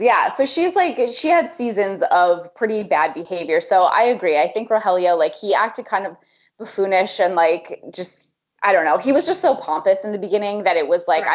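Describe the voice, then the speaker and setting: A woman with a plain, everyday voice talks at a fairly quick pace. Her pitch sits in the medium range, and her intonation is lively. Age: 30s. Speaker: podcast co-host. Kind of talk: casual chat.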